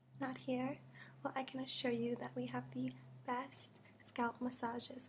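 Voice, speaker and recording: A soft-spoken woman whispers at a very slow pace. Light background noise is present. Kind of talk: soft-spoken ASMR role-play. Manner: soft, close whispered ASMR voice. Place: home room. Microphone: webcam.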